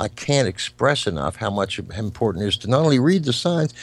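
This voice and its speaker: Medium-pitched male speech with vocal fry, very wide pitch swings and a moderate pace. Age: 60s. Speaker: psychic medium and musician. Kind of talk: interview.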